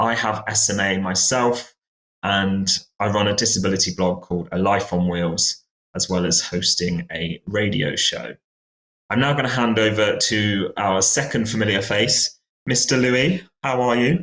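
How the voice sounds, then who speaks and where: A man's fairly low voice in a British accent, moderate in pace, with ordinary pitch variation and very even loudness. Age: 20s. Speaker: podcast host. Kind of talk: podcast conversation. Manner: hesitant, many fillers.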